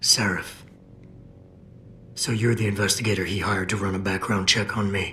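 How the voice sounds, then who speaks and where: A raspy, put-on character voice from a man, fairly low in pitch and monotone, at a moderate pace with long, frequent pauses over clear background noise. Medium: video game. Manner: terse, controlled.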